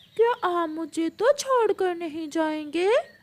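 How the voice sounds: A cartoonish character voice from a woman, extremely high-pitched and at a fairly slow pace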